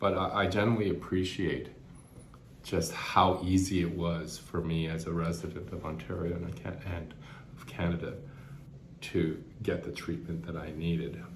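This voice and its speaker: There is audible room echo as a man speaks at a moderate pace. His voice is somewhat breathy and very deep, with fairly even intonation. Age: 50s. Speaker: cancer patient vlogger. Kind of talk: personal reflection vlog. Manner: halting, with frequent repetitions and fillers.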